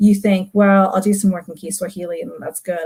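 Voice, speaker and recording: This woman's voice sits at a medium pitch, somewhat breathy, with a dark, mellow tone. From global South heritage, multilingual upbringing. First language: non-English heritage language. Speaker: literature academic. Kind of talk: recorded talk.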